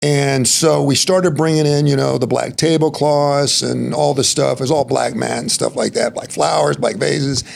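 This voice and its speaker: A man with an American accent talks at a moderate pace, with hardly any pauses. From Texas. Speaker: entrepreneur and helicopter pilot. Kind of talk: casual interview chat. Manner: animated storytelling.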